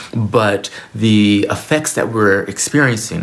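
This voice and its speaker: A man speaks with a fairly low pitch and ordinary pitch variation. Noticeable background noise runs underneath. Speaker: spiritual teacher and former minister. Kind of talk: solo video talk to camera. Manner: halting, with frequent repetitions.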